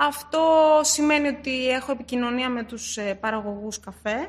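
The woman talks at a fairly slow pace. Her pitch moves in an ordinary way. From born in Istanbul, raised in Greece from age six. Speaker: coffee sourcing specialist. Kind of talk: interview.

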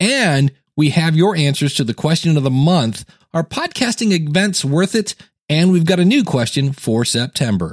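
Recorded dry and close with no echo against a silent background on a very clean recording, a man with an unremarkable speaking voice talks at a moderate pace, his pitch fairly high and his intonation lively, his loudness very even. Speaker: podcast host and coach. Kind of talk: podcast interview and listener feedback segments.

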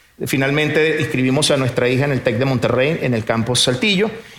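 A man talks in a room with audible echo. Noticeable background noise runs behind him. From Venezuela. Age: 50s. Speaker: businessman. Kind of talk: testimony. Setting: stage with audience.

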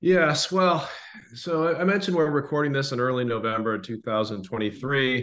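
In an ordinary speaking voice, a man with an American accent talks at a medium pitch. He moves at a fairly slow pace with lively intonation. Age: 60s. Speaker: history podcast co-host. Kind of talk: casual chat.

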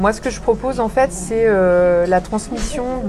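Over noticeable background noise and audible room echo, a woman talks at a fairly slow pace. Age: 40s. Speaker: energy healer and women's coach. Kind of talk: interview testimony. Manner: halting, many hesitations.

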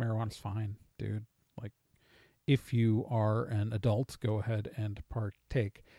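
A man with an American accent speaks in a monotone, flat intonation at medium pitch, his tone dark and mellow. The sound is dry and close with no echo, on a very clean recording with a silent background. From Wisconsin, US Midwest. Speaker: podcast host. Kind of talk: casual monologue answering listener mail. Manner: halting, many fillers.

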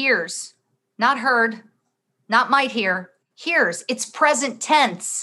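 Against a quiet background, a woman with a high, bright, sharp voice and lively intonation speaks very slowly, with long, frequent pauses. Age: 50s. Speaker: podcast host and business coach. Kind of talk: devotional teaching with scripture reading and prayer. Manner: fervent, impassioned, emphatic; warm, earnest, direct address to listeners.

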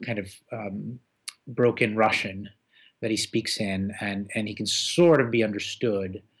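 Speaking with an American accent, a man with a fairly low voice moves at a fairly slow pace, with long, frequent pauses and fairly even intonation. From Boston, US (born Moscow, emigrated at six). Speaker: journalist and translator. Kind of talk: interview. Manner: halting, many fillers.

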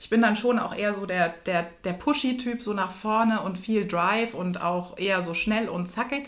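There is audible room echo around this woman's voice, which has ordinary pitch variation. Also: medium pitch for a woman, moderate pace, hardly any pauses. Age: 30s. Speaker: executive and coach. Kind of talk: interview. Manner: animated.

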